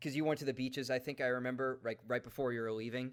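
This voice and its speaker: A man with a New York accent rattles along at a very fast pace in a medium pitch. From New York, Long Island. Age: 20s. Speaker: podcast host. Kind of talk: casual chat. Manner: animated.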